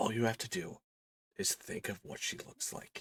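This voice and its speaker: Using a put-on character voice, a man talks at a moderate pace and a medium pitch, the sound dry and close with no echo. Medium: actual play. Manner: cryptic, measured.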